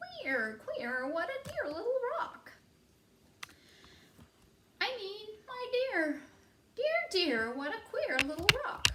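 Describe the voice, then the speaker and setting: A woman puts on a squeaky character voice at an extremely high pitch, with very wide pitch swings, a very slow pace and long, frequent pauses. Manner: funny.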